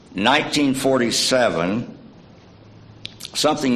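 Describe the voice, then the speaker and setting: A man speaks at a fairly slow pace, with audible echo from the room. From East Tennessee (Scott County, Cumberlands). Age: 70s. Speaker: church member giving a short sermon. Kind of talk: sermonette. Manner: halting, many fillers.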